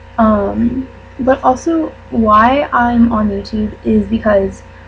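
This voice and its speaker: Over noticeable background noise, a woman talks with a fairly high pitch and fairly even intonation. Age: 20s. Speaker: YouTuber and college student. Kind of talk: casual vlog monologue. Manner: hesitant, many fillers.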